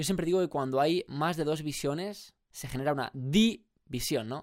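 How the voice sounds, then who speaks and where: With lively intonation and a fairly quick pace, a man's speech is captured in a very clean recording against a silent background. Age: 20s. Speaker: podcast host. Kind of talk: solo motivational monologue. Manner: animated.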